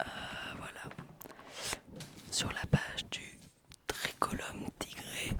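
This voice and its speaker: Over noticeable background noise, the whisper drags along at a very slow pace, broken by long, frequent pauses. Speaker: ASMR channel host, daughter of the other speaker. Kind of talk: casual ASMR talk, whispered mushroom chat. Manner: whispering, soft-spoken.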